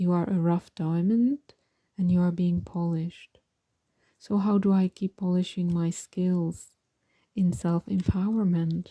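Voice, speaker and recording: A woman with a non-native accent speaks at a fairly slow pace with long, frequent pauses, in a dark, mellow, calm and gentle tone that is somewhat breathy, with fairly low pitch, fairly even intonation, very even loudness and a dry, close sound with no echo. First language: not English. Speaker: tarot reader and mindfulness teacher. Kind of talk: pick a card tarot reading. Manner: calm, gentle; halting, self-correcting.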